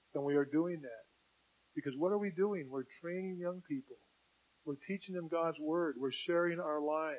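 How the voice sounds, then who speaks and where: A man with an American accent talks at a moderate pace in an ordinary speaking voice, his pitch fairly high. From US Pacific Northwest. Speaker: pastor. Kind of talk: sermon. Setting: church.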